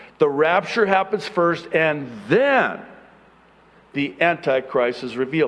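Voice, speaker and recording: This man's pitch rises and falls very widely. He delivers his words fairly slowly. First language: Arabic. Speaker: pastor. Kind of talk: sermon.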